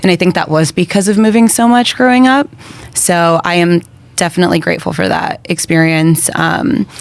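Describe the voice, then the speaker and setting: A woman's fairly low voice with lively intonation and very even loudness, over noticeable background noise. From Brazil, raised in Florida and Connecticut from age six. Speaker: podcast guest. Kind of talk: casual interview chat.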